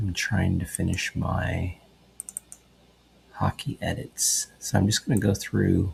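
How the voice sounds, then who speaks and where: A quiet man at a very slow pace with long, frequent pauses and noticeable background noise. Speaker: sports photographer. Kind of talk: tutorial. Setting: at home at night. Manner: quiet, low voice; casual, many fillers.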